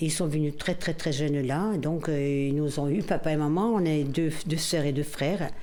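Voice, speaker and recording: A woman with a very deep, low pitch, very even loudness and hardly any pauses, at a moderate pace, with audible room echo. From Corsica, Bastia. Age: 60s. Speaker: longtime neighbourhood resident. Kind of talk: casual reminiscence on a guided walk. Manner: hesitant, many repetitions.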